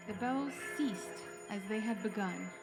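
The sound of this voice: Over clear background music, a woman speaks at a fairly slow pace with a medium pitch and ordinary pitch variation.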